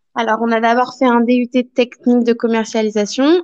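Recorded with a dry, close sound and no echo, a woman with an unremarkable speaking voice talks at a fairly slow pace in a fairly high pitch. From France. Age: 20s. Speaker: young expatriate. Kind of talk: interview testimony.

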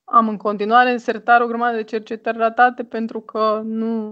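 A woman's fairly high, monotone, flat delivery at a fairly slow pace against a quiet background. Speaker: writer and anthropologist. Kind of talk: interview.

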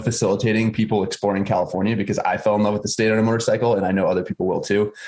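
This man has an American accent. His pitch sits fairly low. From US Northeast (Massachusetts). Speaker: motorcycle journalist and presenter. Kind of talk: casual chat.

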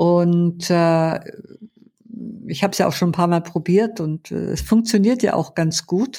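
A woman's fairly low, dark and mellow voice at a fairly slow pace, with ordinary pitch variation and long, frequent pauses. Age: 70s. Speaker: therapist and former interpreter. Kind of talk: interview. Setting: studio, sitting beside host.

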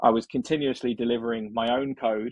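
His pitch sits in the middle range. The man talks in an English accent. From England. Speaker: software engineer. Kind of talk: interview.

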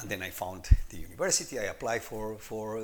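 A man is speaking. He has a Spanish accent. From Colombia. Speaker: techno-anthropologist. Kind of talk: interview. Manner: halting.

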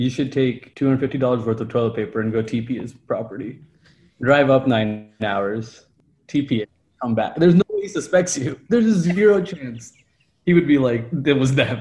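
A man at a moderate pace, medium in pitch, somewhat breathy, with an animated tone and lively intonation. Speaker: podcast co-host. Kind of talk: casual banter. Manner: joking, animated.

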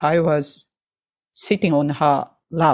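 Here a woman speaks with a Japanese accent. Her pitch is very deep and low. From Japan, Hokkaido, Sapporo. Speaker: jazz pianist and educator. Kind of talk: interview. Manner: halting.

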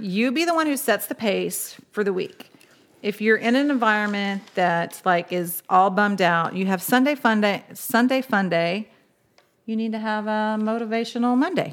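A woman with an American accent uses a plain, everyday voice, pitched fairly high, at a moderate pace and with ordinary pitch variation, in a very clean recording with a silent background. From Oklahoma. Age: 40s. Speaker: podcast host. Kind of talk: casual chat.

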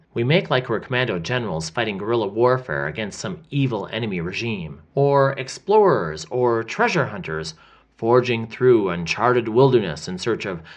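A man speaks at a medium pitch in an animated tone. His pitch swings very widely over a quiet background. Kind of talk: audiobook-style fiction reading, first-person diary of a boy. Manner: earnest boyish wonder, animated and chatty, voicing a restless twelve-year-old's diary.

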